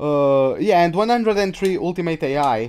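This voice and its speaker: On a very clean recording with a silent background, a man with a high pitch and a Portuguese accent speaks with lively intonation. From Portugal. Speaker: gaming streamer. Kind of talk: live gameplay commentary. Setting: live stream. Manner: casual, halting.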